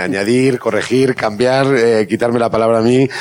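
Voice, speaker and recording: Noticeable background noise sits behind a man with a Spanish accent. He speaks at a moderate pace and medium pitch. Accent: Spanish (Spain). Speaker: journalist and panel moderator. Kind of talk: moderated panel discussion. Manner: halting, many repetitions.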